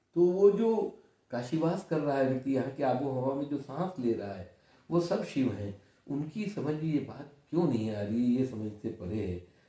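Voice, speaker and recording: Somewhat breathy and dark, mellow in tone, a man's fairly high voice moves through very wide pitch swings at a moderate pace. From India, Varanasi (Kashi). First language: Kannada (speaking Hindi). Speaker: senior journalist. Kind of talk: interview.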